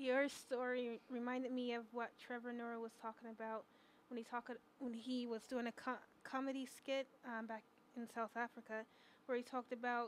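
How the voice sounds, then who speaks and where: A woman's high-pitched voice at a moderate pace, over light background noise. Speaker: student radio host. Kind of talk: casual chat. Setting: studio. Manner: animated. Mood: warm, upbeat. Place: studio. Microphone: studio mic.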